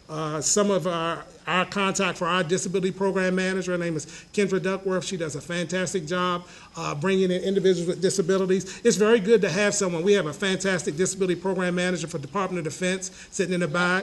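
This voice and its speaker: A man with a high pitch speaks very fast in a monotone, flat intonation, with audible room echo and noticeable background noise. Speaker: government agency official. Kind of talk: conference panel talk.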